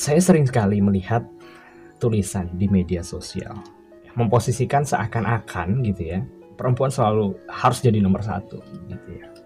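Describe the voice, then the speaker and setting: His voice sits fairly low, and the man keeps a moderate pace. Pitch varies in an ordinary way, with music behind him. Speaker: radio broadcaster / voice-over worker, father and husband. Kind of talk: radio program talk, personal advice. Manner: conversational, reflective.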